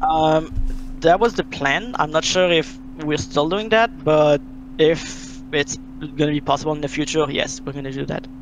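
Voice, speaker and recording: With a strong French Canadian accent, a man talks at a moderate pace in a fairly high pitch and lively intonation, with noticeable background noise behind him. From Quebec, French Canada. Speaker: game modder. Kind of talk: interview. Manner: halting.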